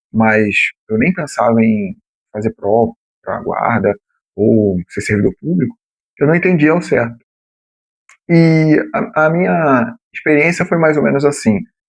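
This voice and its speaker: Speaking at a fairly slow pace, a man uses a fairly high pitch with very wide pitch swings. His long pauses come often. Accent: Rio de Janeiro. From São Paulo city, Brazil. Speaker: former municipal guard, exam-prep youtuber. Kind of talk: explanatory talk to camera. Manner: casual, with many fillers.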